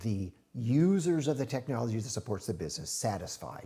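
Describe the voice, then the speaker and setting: A man's dark, mellow voice with vocal fry and very wide pitch swings, at a fairly quick pace, on a very clean recording with a silent background. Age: 60s. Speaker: IT strategy consultant, former music industry executive. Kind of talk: podcast interview.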